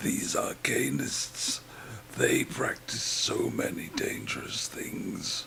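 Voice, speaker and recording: A man whispers very slowly, using a put-on character voice. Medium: actual play.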